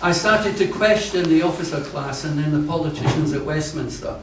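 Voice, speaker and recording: With a British accent and a fairly high pitch, a man talks at a moderate pace. Audible room echo and noticeable background noise are present. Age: 70s. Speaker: activist and army veteran. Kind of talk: prepared talk read aloud. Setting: event space with live audience.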